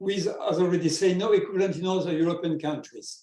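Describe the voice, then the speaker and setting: A man's dark, mellow tone at a high pitch. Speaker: stamp collector and researcher. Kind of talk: presentation; casual chat. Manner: halting.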